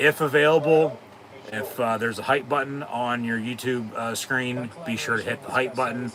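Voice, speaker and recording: A medium-pitched man at a moderate pace with fairly even intonation and noticeable background noise. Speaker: sports live-stream host. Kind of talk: casual watch-along commentary.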